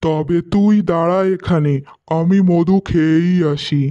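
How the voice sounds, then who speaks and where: This cartoonish character voice sits at a middle pitch and moves at a very slow pace. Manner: greedy, sing-song.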